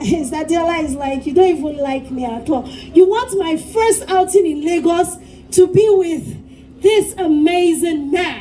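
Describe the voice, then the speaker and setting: Amid noticeable background noise and audible room echo, a woman with an extremely high pitch and an animated tone speaks at a fairly slow pace with ordinary pitch variation. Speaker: event MC. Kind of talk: live event hosting. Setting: stage with audience.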